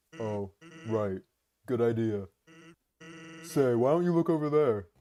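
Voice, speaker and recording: Using a put-on character voice, a man talks at a medium pitch and a moderate pace. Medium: game stream. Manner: laid-back, deadpan.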